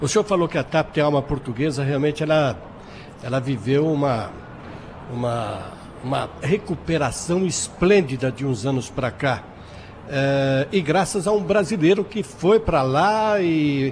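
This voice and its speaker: Speaking fairly slowly in a plain, everyday voice, a man with fairly high pitch uses lively intonation. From Brazil. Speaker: radio host. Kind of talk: radio interview. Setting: trade fair.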